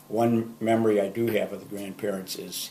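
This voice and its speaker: In an Upper Midwest accent, a man talks at a moderate pace with monotone, flat intonation and fairly low pitch. The room echo is audible. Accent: Upper Midwest American. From Minnesota, Saint Paul. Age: 70s. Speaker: grandfather sharing memories. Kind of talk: oral history recollection. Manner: hesitant, with fillers.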